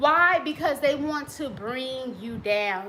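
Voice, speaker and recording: Over noticeable background noise, a woman projects a raised voice at a high pitch, with very wide pitch swings and a very slow pace. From US Midwest. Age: 40s. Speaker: relationship coach and author. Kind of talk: casual talk to camera. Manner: conversational.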